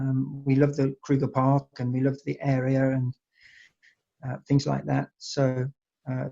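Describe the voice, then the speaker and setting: A man's fairly high, somewhat breathy voice with an English accent, at a moderate pace, in a dry, close sound with no echo. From England. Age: 60s. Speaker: wine estate owner. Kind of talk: interview. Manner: halting, many fillers.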